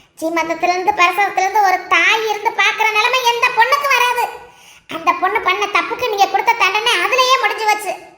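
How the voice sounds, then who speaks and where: Using a cartoonish character voice at an extremely high pitch, a woman speaks at a moderate pace with ordinary pitch variation and very even loudness. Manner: loud, forceful.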